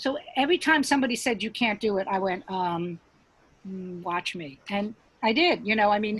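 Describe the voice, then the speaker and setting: A woman speaks in a normal speaking voice at a moderate pace with ordinary pitch variation. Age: 60s. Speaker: stand-up comedian. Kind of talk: casual chat.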